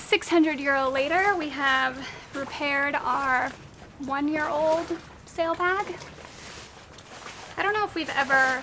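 A raised, projected voice at a fairly slow pace with ordinary pitch variation, amid noticeable background noise. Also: woman. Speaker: sailing vlogger. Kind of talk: casual vlog chat. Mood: mildly annoyed then pleased. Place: boat. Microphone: phone near.

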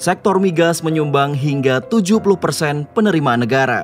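Fairly high male voice with lively intonation at a moderate pace, with music in the background. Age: 30s. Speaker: voice actor. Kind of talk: corporate narration.

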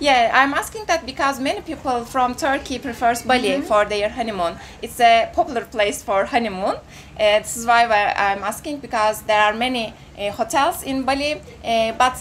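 Over light background noise, a woman with a high pitch talks at a moderate pace with ordinary pitch variation. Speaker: travel vlogger interviewer. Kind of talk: interview questions. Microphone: handheld.

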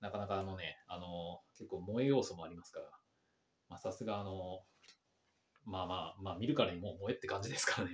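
A man with a very deep, low voice speaks at a fairly quick pace, somewhat breathy, with ordinary pitch variation. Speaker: English learner YouTuber. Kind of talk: language-learning commentary. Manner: halting, many fillers. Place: home room.

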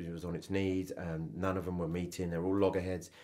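A man talks at a very fast pace with a southern English accent. His pitch is very deep and low. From England, Cambridge. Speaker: photographer. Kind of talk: interview.

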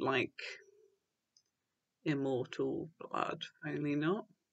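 A woman speaks with a British accent. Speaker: book reviewer. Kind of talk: casual talk to camera.

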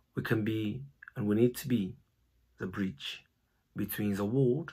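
Using a dark, mellow tone, a man speaks at a fairly slow pace with a somewhat breathy voice, ordinary pitch variation, and long, frequent pauses. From Japan (born in Brazil). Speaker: missionary and TCK college founder. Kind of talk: personal introduction talk to a Sunday school audience. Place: home room. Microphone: phone near.

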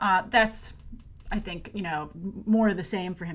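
A woman talks at a very fast pace. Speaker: movie news host. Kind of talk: casual news commentary. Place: home room.

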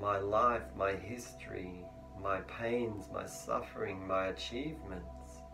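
A man's calm voice at a very slow pace, with very wide pitch swings and clear music in the background. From Australia. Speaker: meditation teacher. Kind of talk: guided meditation teaching. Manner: calm, slow, instructional. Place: home room.

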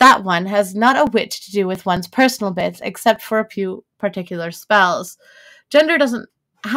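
The reading aloud is plain, with a quiet background behind it.

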